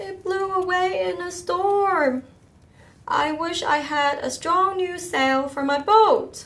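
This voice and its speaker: A put-on character voice at a fairly slow pace. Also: woman, extremely high pitch for a woman. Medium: read story. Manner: bleating.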